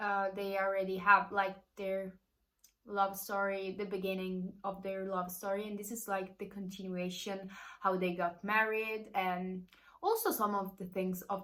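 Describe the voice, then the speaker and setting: A woman with an Italian accent talks at a moderate pace and medium pitch, her tone bright and sharp. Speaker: book youtuber. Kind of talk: casual vlog review.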